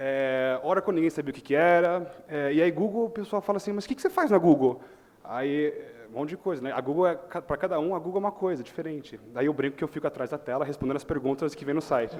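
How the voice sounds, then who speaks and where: A man's pitch is fairly high and varies in an ordinary way. He talks at a very fast pace. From US Midwest, Chicago. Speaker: tech company manager, panel speaker. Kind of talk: conference talk.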